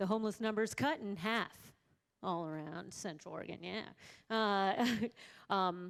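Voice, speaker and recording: Her medium-pitched voice moving at a fairly slow pace, a woman speaks with ordinary pitch variation and long, frequent pauses on a very clean recording with a silent background. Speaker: health worker, table spokesperson. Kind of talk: reporting back at a public forum. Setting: forum event with audience, microphone.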